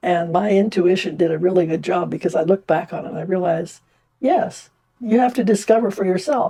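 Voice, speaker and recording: A woman's voice at medium pitch with a dark, mellow tone. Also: ordinary pitch variation, fairly quick pace. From India. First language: Indian language (Hindi). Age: 90s. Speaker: retired nurse and artist. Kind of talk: personal testimony interview. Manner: halting with fillers.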